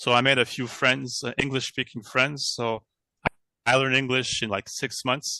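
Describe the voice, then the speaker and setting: A man with a French accent speaks at a medium pitch and a moderate pace, his tone bright and sharp and his intonation monotone and flat. The sound is dry and close with no echo, against a quiet background. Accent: French accent in English, rough English. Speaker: retired professional. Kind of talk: casual group chat. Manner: halting, searching for words.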